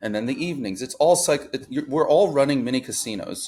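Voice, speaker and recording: A man with a normal speaking voice, fairly high in pitch, talks at a moderate pace with lively intonation. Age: 20s. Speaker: online reseller. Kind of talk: casual chat.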